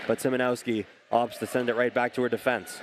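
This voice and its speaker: The speech moves at a moderate pace. Noticeable background noise can be heard behind it. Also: man. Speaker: sports play-by-play announcer. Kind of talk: sports play-by-play commentary.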